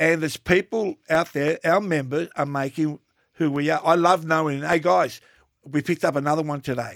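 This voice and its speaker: A fairly quick, fairly high-pitched male voice with an Australian accent, ordinary pitch variation and a dry, close sound with no echo. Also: very clean recording, silent background. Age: 60s. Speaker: podcast co-host, TV personality. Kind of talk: casual chat.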